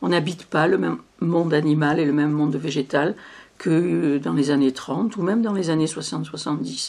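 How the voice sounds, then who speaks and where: A woman speaks in a very deep, low voice with vocal fry. Her pitch moves in an ordinary way. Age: 70s. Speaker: poet. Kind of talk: interview. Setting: filmed interview. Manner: halting.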